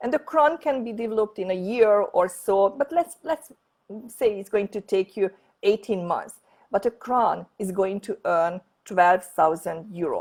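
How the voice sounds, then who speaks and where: A woman with a Hungarian accent speaks at a fairly slow pace and medium pitch with lively intonation, in a dry, close sound with no echo. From Hungary. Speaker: network marketing leader. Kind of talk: sales pitch. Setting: online presentation from home office. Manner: halting.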